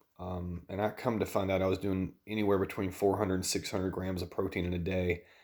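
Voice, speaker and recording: Speaking at a very fast pace in a quiet voice, a man with a Southern US accent has a very deep, low pitch and ordinary pitch variation. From US South. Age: 30s. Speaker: dietitian and vlogger. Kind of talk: personal vlog. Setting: at home at night.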